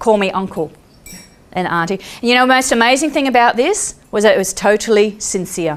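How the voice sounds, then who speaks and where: With an Australian accent and a fairly high pitch, a woman speaks in an animated tone with lively intonation at a fairly quick pace amid noticeable background noise. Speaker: peace activist and speaker. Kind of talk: storytelling talk.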